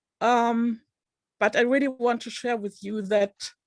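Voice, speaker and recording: A woman with a non-native accent, in a dry, close sound with no echo and a very clean recording with a silent background. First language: not English. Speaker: online book club participant. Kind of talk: personal testimony.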